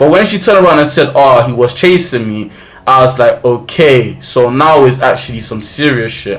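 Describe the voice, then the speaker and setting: A man with a London accent at a medium pitch and moderate pace, ordinary pitch variation, and noticeable background noise. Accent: London multicultural English. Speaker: YouTuber. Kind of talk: storytelling. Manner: loud.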